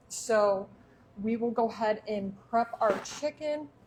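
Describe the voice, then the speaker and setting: A woman with a Michigan accent, very slow pace, fairly high pitch, and ordinary pitch variation. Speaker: cooking show host. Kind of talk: live cooking demonstration. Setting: home kitchen, back door open.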